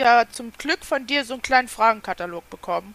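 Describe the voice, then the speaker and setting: In a high, bright and sharp voice, a woman speaks fairly quickly with lively intonation. The sound is dry and close with no echo. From Germany, near Kassel (northern Hesse). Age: 30s. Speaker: YouTube crafting creator. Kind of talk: casual interview chat.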